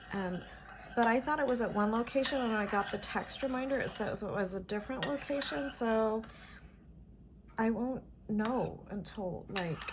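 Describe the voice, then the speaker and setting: With an American accent, a woman speaks in a somewhat breathy voice, leaving long, frequent pauses. There is audible room echo. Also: ordinary pitch variation, moderate pace. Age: 50s. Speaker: vlogger. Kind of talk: casual chat. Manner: chatty, filler-heavy.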